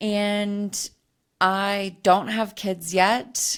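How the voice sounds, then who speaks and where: A woman's medium-pitched voice comes through a very clean recording against a silent background. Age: 30s. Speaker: podcast host and hormone health coach. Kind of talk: casual solo podcast monologue. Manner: conversational, with fillers and restarts.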